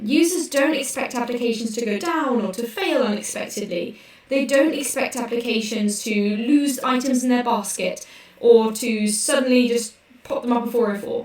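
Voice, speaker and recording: A woman with a British accent speaks at a moderate pace and a high pitch, with ordinary pitch variation. Audible room echo and noticeable background noise fill the recording. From UK. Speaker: developer advocate. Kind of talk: conference workshop presentation.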